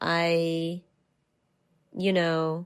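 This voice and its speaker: A speaker with a New Jersey accent talks in a monotone, flat intonation, the sound dry and close with no echo. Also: woman. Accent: New Jersey American English. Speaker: artist. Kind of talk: podcast interview answer.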